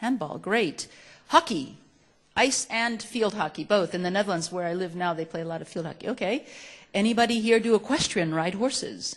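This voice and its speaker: Talking at a fairly quick pace, a woman with a medium pitch uses lively intonation and big swings in loudness. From Chile, then United States from age eight. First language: Spanish. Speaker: nonprofit executive director, speaker. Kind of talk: talk to students. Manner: animated.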